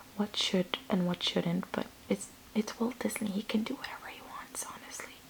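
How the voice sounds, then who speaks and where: Whispering at a moderate pace in a relaxed tone, a woman's loudness swings widely against noticeable background noise. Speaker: ASMR creator. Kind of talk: casual talk to camera. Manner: soft-spoken, relaxed.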